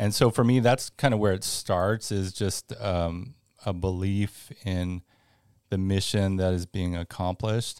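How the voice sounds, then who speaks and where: A man with an American accent and a plain, everyday voice speaks at a fairly slow pace in a fairly low pitch with fairly even intonation, on a very clean recording with a silent background and a dry, close sound with no echo. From Northern California. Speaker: school fundraising director. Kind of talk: interview. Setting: studio.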